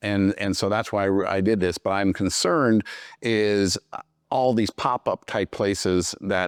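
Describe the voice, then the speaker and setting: A man speaks at a fairly slow pace in an unremarkable speaking voice, fairly low in pitch. The background is quiet. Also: dry, close sound with no echo. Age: 60s. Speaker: podcast host. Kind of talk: interview.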